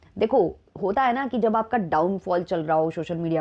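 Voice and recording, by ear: Medium pitch from a female speaker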